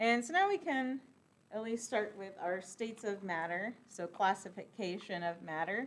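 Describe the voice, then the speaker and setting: This woman speaks in a plain, everyday voice at medium pitch, moving at a moderate pace with ordinary pitch variation. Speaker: chemistry lecturer. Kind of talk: lecture. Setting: classroom.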